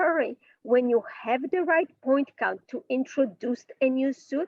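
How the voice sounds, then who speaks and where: Speaking at a fairly slow pace, a woman with a high pitch talks in a strong non-native accent. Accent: heavy foreign. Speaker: bridge teacher. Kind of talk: online class lecture.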